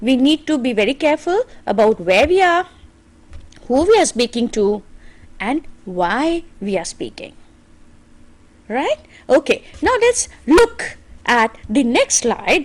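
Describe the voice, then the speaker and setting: A woman with an Indian accent speaks at a very slow pace and high pitch, her voice making very wide pitch swings between long, frequent pauses. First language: Hindi. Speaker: English teacher. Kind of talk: lecture.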